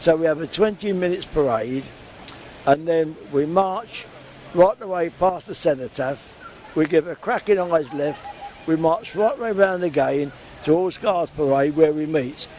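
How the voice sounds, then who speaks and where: Talk comes at a fairly slow pace with ordinary pitch variation, while noticeable background noise persists. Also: man, fairly high pitch for a man. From London area (Hounslow). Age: 80s+. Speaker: war veteran. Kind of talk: interview. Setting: outdoors.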